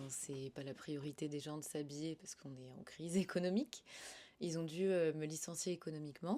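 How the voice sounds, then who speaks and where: A woman with a very deep, low pitch and a dark, mellow tone speaks at a moderate pace with fairly even intonation and big swings in loudness. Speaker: voice actor. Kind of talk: interview answer. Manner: casual, conversational.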